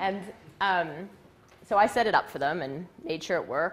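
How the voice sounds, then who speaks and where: A woman with a Canadian accent speaks loudly. Her pitch is fairly low. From western Canada. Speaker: presenter. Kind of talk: live talk.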